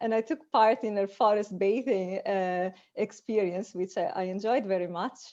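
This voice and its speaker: Against a quiet background, a woman with a dark, mellow tone speaks at a moderate pace and medium pitch with ordinary pitch variation. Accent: Italian. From Italy. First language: Italian. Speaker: cognitive scientist. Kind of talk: panel discussion. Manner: halting, repeats words.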